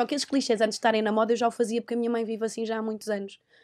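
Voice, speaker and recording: Against a quiet background, a woman with a fairly high pitch talks at a very fast pace. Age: 20s. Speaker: TV presenter. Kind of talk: casual chat.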